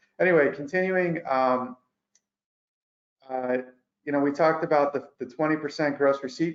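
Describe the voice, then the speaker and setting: A man with fairly even intonation. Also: long, frequent pauses. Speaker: accountant presenting tax update. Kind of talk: webinar presentation. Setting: online webinar. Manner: fast.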